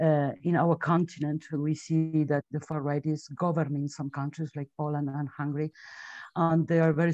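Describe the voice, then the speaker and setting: A woman with a Spanish accent speaks in a very deep, low voice with a dark, mellow tone. Her intonation is flat and monotone, her pace moderate, and the background quiet. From Spain. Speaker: webinar moderator. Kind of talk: webinar introduction. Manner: halting.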